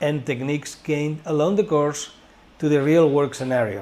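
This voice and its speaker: A man with a Spanish accent speaks in a fairly high pitch. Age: 60s. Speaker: school director and teacher. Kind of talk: informational course presentation.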